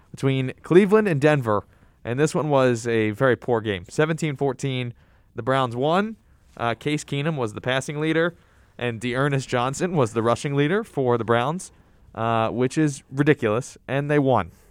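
At a moderate pace, a man with an unremarkable speaking voice and medium pitch talks with ordinary pitch variation. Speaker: college radio sports show host. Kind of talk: casual sports chat.

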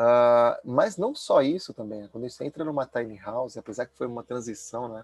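The man's loudness swings widely as he talks at a moderate pace in a medium pitch with ordinary pitch variation. The sound is dry and close with no echo. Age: 40s. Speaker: former finance professional turned minimalist lifestyle advocate. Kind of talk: casual interview chat. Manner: halting, many fillers and repetitions.

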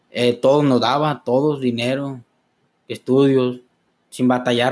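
A man with a medium pitch talks in a monotone, flat intonation. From Los Mochis, Sinaloa, Mexico. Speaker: clinic administrative assistant, recovering addict. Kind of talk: testimony. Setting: studio.

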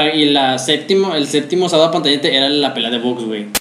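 Lively intonation carries the voice. There is noticeable background noise and an audible echo in the room. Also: man. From Mexico City. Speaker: podcast host. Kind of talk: casual chat.

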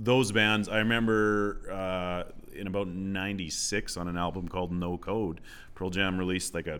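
Speaking at a moderate speed, a man has a very deep, low voice. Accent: Canadian Prairie. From Southwest Saskatchewan, Canada. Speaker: high school English teacher. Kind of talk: casual interview chat.

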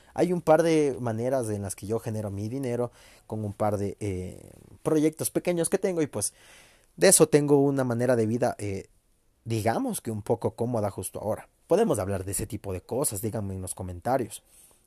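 On a very clean recording with a silent background and a dry, close sound with no echo, a man with a Mexican accent speaks in a dark, mellow tone, his intonation lively and his loudness swinging widely. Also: medium pitch for a man, moderate pace. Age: 20s. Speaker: podcaster. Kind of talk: personal monologue.

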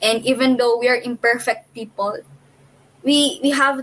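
At a fairly slow pace, a woman with a fairly high pitch talks with ordinary pitch variation. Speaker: returned missionary. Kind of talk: casual chat.

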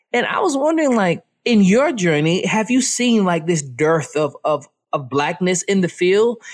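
Delivered at a moderate pace, this voice has an American accent and swings very widely in pitch. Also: man. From North Carolina small town. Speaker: podcast host. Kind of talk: interview.

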